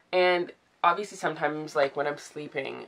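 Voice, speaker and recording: At a moderate pace, a woman speaks with a very deep, low voice and a bright, sharp tone. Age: 20s. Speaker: vlogger. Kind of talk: personal vlog confession. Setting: in bed, filming at home. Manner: hesitant, many fillers. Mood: emotional, vulnerable. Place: home room. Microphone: phone near.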